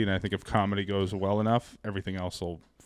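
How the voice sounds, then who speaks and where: Talking at a very fast pace, a man with an American accent has a fairly low pitch. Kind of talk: casual, conversational.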